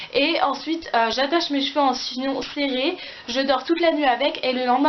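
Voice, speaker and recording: A woman talks in a high pitch with fairly even intonation. Audible room echo and noticeable background noise fill the recording. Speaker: beauty vlogger. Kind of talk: casual product review vlog. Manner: fast; hesitant, many fillers.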